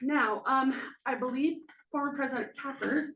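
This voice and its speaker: This woman speaks with vocal fry. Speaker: presenter at village board meeting. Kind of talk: public presentation. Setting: public meeting. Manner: fast.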